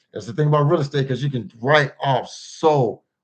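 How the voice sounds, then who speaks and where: The speaker talks at a moderate pace. The voice is somewhat breathy. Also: man. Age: 50s. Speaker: personal finance livestreamer. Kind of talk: casual livestream chat.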